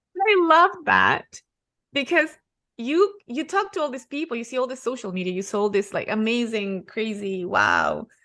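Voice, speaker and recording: Delivered in a Spanish accent, the voice has a bright, sharp tone. It moves at a moderate pace with very wide pitch swings. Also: woman, high pitch for a woman. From Ecuador. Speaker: real estate investor. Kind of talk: podcast interview.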